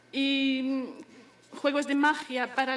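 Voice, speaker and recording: A woman speaks at a high pitch in a monotone, flat intonation. Noticeable background noise runs underneath. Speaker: daughter of the late poet. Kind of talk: memorial speech. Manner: halting.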